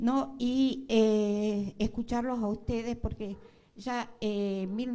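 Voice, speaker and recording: Intonation holds fairly even throughout. A dark, mellow tone colors the voice. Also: woman. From northwestern Argentina. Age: 70s. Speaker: audience member, veteran activist. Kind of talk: public comment at a panel. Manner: halting.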